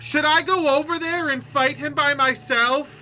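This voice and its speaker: A put-on character voice, high-pitched and raised to project at a moderate pace. Clear music plays in the background. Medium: actual play. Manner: impulsive, loud.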